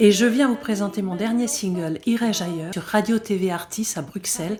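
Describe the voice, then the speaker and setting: Against noticeable background noise, a woman speaks at medium pitch and a moderate pace with ordinary pitch variation. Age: 60s. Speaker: folk singer-songwriter. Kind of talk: recorded artist message. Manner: hesitant, with frequent fillers.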